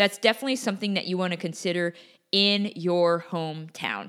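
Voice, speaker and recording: Over a silent background on a very clean recording, a woman with an American accent speaks in an ordinary speaking voice, fairly low in pitch, with ordinary pitch variation. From US Pacific Northwest (Portland, Oregon). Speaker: podcast host, real estate investor. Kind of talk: solo educational podcast monologue. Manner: casual, conversational with many fillers.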